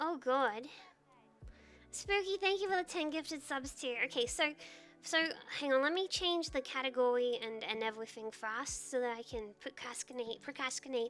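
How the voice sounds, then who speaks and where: Over music in the background, a woman talks at a moderate pace in a high pitch with lively intonation. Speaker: streamer. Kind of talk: casual chat.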